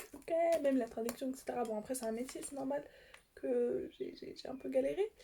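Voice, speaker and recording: The speaker mumbles at a moderate pace. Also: woman, high pitch for a woman, lively intonation, big swings in loudness. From France. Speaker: YouTuber. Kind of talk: casual vlog talk. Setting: seated in armchair at home. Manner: halting, many fillers and restarts; mumbles words.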